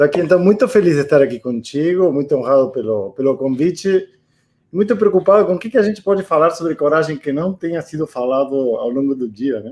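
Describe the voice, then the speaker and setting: A man with an Argentine accent, fairly high-pitched, fairly quick and lively in intonation. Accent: Argentine accent in Portuguese, noticeable. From Argentina. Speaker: interviewee on a panel. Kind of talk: interview. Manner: halting, with many fillers and repetitions.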